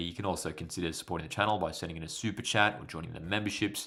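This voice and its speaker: Speaking at a very fast pace, a man with an Australian accent keeps a fairly even intonation. His pitch is very deep and low. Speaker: football YouTuber. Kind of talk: live match commentary and chat. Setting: livestream. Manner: casual, conversational.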